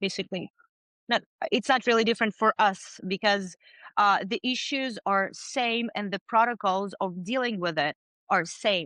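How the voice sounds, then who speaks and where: A woman's bright, sharp voice with a non-native accent and ordinary pitch variation, dry and close with no echo against a quiet background. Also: medium pitch for a woman, moderate pace. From outside the US. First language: not English. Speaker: business owner in water damage restoration. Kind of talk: podcast interview.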